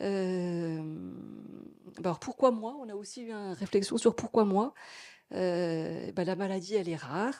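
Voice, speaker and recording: A woman speaks very slowly in a medium pitch, her tone dark and mellow, her intonation lively. Her loudness swings widely in a very clean recording with a silent background. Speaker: patient testimony speaker at medical conference. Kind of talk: conference testimony speech.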